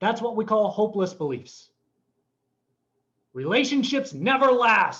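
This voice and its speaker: Bright and sharp in tone, a man speaks in a high pitch with lively intonation and an animated tone, leaving long, frequent pauses. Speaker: motivational trainer. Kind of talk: live training seminar. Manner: fast; animated, over the top.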